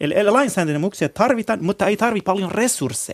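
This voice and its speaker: Dry, close sound with no echo from a man, over a quiet background. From Iran. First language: Kurdish (speaking Finnish). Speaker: Middle East researcher and consultant. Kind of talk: discussion.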